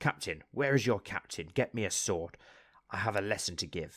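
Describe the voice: With lively intonation, the speaker does plain reading aloud.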